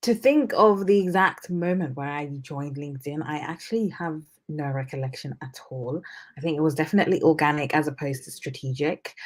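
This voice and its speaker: A woman talks at a fairly quick pace with a very deep, low pitch. Her loudness swings widely while her pitch varies in an ordinary way. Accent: British. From UK. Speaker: junior doctor. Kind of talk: interview. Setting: live stream.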